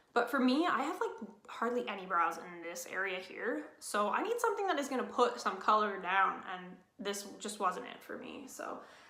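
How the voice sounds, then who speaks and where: With lively intonation, a woman talks at a fairly high pitch amid audible room echo. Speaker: beauty vlogger. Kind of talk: casual product review. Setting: at home. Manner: fast.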